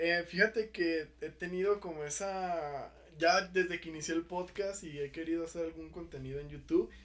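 A man's high-pitched voice at a moderate pace, hardly any pauses, big swings in loudness and fairly even intonation. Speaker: podcast host. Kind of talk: casual chat.

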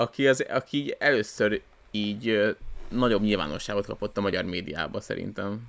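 A plain, everyday voice moves at a moderate pace with ordinary pitch variation. The recording is very clean, with a silent background. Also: man, fairly low pitch for a man. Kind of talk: casual chat. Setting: new recording location.

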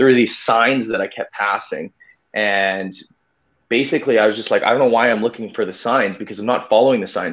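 Here a man speaks with a Canadian accent. His pace is fairly quick. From Winnipeg, Manitoba, Canada. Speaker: amateur ultramarathon runner. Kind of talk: casual interview. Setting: live stream.

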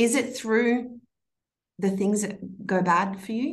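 A woman speaks at a fairly high pitch, her voice somewhat breathy. Audible echo fills the room. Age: 30s. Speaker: entrepreneur and mother. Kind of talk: casual interview.

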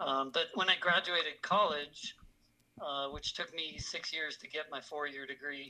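Speaking with an American accent, a man uses a fairly high pitch, a bright, sharp tone, fairly even intonation and a moderate pace. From US Michigan and California. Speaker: auto detailing trainer. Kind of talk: casual interview chat.

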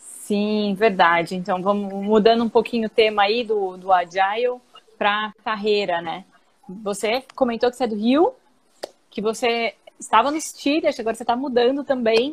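Ordinary pitch variation marks this woman's speech, delivered at a moderate pace. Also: fairly high pitch for a woman. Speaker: co-host. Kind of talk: casual interview. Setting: live stream video call.

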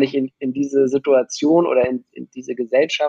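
Fairly high in pitch, a man talks at a fairly quick pace in an ordinary speaking voice. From Hamburg, northern Germany. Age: 20s. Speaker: music producer and DJ. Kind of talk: casual chat.

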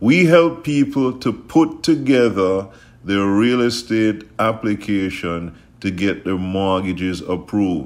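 Very slowly, a man speaks in a fairly low voice with an upbeat, warm tone and lively intonation. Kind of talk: radio sales pitch. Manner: upbeat, warm, pitchman-style urging with repeated calls to action; emphatic, gushing with repeated thank-yous.

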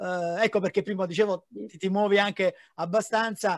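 A man speaks at a high pitch with fairly even intonation. The sound is dry and close with no echo, over a quiet background. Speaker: podcast host. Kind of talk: interview.

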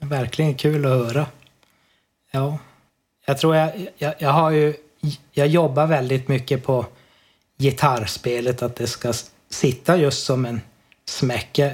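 A man's somewhat breathy, fairly high voice at a very slow pace, with long, frequent pauses and fairly even intonation. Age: 40s. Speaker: amateur musician. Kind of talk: casual interview. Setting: Skype call.

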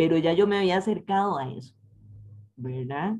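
A woman speaks with lively intonation. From Costa Rica, San José. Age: 50s. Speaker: chemistry professor and researcher. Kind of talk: interview.

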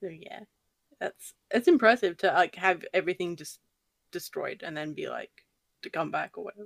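With an Australian accent, the speaker keeps a moderate pace broken by long, frequent pauses. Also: woman, big swings in loudness. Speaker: YouTube horror narrator. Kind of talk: casual chat. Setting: video call.

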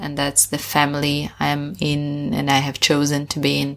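On a very clean recording with a silent background, a woman with a Russian accent speaks at a moderate pace in a very deep, low pitch. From Russia, Sakhalin Island. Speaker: education entrepreneur. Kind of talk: interview conversation.

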